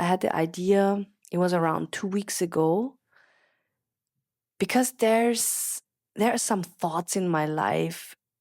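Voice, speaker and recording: A woman with a German accent speaks at a very slow pace. The recording is very clean, with a silent background and a dry, close sound with no echo. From Austria. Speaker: podcast host, business coach. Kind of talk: casual monologue. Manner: unscripted, some hesitations.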